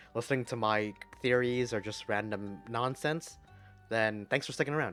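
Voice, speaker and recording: A man's voice with music in the background. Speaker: gamer voicing game characters. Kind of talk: casual let's play commentary.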